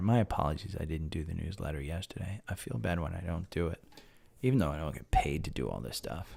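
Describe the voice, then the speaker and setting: Soft-spoken and at a very fast pace, a man talks with vocal fry, a very deep, low pitch, and lively intonation. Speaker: stock market live streamer. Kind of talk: live stream chat about stocks. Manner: soft, talking low.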